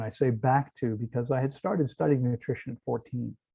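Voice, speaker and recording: With a Mid-Atlantic American accent, a man speaks at a moderate pace in a somewhat breathy, medium-pitched voice with ordinary pitch variation. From US East Coast, outside Washington DC. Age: 60s. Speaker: raw vegan fasting center owner. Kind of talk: interview.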